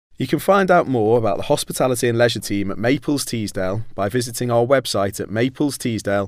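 A man at medium pitch speaks at a fairly quick pace in a plain, everyday voice. The recording is very clean, with a silent background. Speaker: law firm sector lead, podcast host. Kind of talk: podcast interview.

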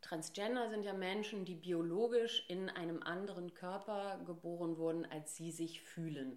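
At a fairly slow pace with hardly any pauses, a woman with a normal speaking voice talks at a fairly low pitch with ordinary pitch variation. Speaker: voice trainer and speech therapist. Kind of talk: casual interview.

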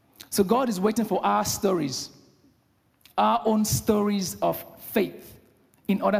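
A high-pitched man speaks with a Nigerian accent at a fairly slow pace. He leaves long, frequent pauses. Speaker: lay preacher. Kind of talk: sermon. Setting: church.

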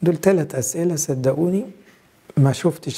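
A man talks at a fairly slow pace. His pitch moves up and down by an ordinary amount. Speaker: priest. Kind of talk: sermon.

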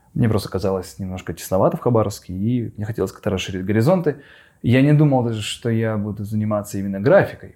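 A man's fairly low, dark, mellow voice at a very fast pace with ordinary pitch variation, in a very clean recording with a silent background. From Russian Far East, Khabarovsk. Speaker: animation studio owner. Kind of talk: casual interview. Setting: studio.

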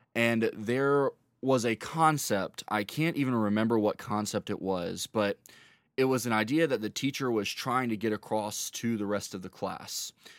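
Using a plain, everyday voice, a man with an American accent speaks at a moderate pace in a medium pitch with ordinary pitch variation, on a very clean recording with a silent background. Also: dry, close sound with no echo. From North Carolina, Charlotte. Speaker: youth minister. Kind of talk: testimony.

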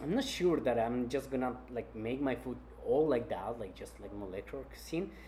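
Audible room echo surrounds a man who speaks at a moderate pace. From Colombia, Cali. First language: Spanish. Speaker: chef. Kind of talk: interview.

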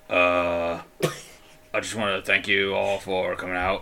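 This put-on character voice sounds raspy and moves at a moderate pace. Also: man, fairly low pitch for a man. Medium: actual play.

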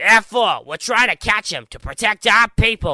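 A man's raised, projected, put-on character voice. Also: very clean recording, silent background. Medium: audio drama. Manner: loud, aggressive.

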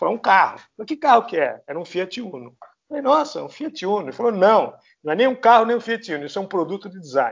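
Talking at a very fast pace, a man delivers his words with lively intonation. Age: 60s. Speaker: architect. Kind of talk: casual interview.

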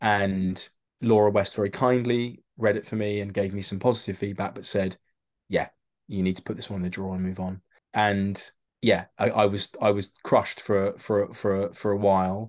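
In a London accent, a man talks at a fairly low pitch with monotone, flat intonation. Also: moderate pace. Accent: London accent, mistaken for Mockney. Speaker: actor and novelist. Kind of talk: casual chat. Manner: halting, repeats words.

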